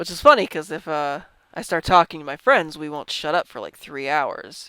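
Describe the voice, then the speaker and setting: Mumbling speech comes through on a very clean recording with a silent background. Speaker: gaming youtuber. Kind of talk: gameplay commentary. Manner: halting, stumbles over words.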